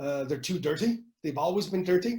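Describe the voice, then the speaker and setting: The voice has a dark, mellow tone and a French accent. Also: man. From Canada. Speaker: futurist speaker. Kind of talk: webinar presentation. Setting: online webinar. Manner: hesitant, many fillers.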